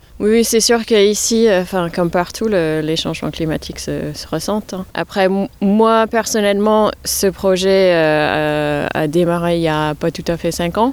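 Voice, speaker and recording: A woman speaks very slowly in a fairly low voice. Her pitch varies in an ordinary way. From New York, US. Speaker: head gardener. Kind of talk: interview. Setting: outdoors. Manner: halting.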